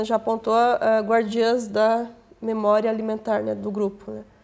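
The woman's fairly high voice stays monotone, with flat intonation. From Paraná, Brazil (Irati); Paraná, Brazil. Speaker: historian and teacher; teacher. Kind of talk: academic interview. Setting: studio. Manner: halting, many fillers. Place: studio. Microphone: lapel.

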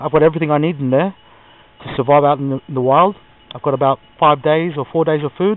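Talking at a very fast pace with fairly even intonation, a man is heard in a dry sound with no echo. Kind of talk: casual vlog chat. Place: open country. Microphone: phone near.

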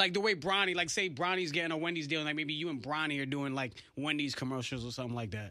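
A man's very fast speech with ordinary pitch variation, dry with no echo, over a quiet background. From New England. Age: 30s. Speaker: radio host. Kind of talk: casual chat. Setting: studio. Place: studio. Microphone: studio mic.

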